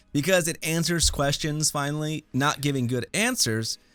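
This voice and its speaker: On a very clean recording with a silent background, a man in a plain, everyday voice speaks at a moderate pace, his fairly high pitch carrying lively intonation. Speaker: review podcast host. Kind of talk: casual chat.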